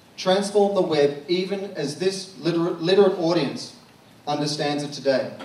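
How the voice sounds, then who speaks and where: The speaker's pitch moves in an ordinary way at a moderate pace. There is audible room echo and noticeable background noise. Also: man. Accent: Australian. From Australia. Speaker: marketing consultant, conference speaker. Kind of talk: conference talk. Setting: stage with audience at comedy club.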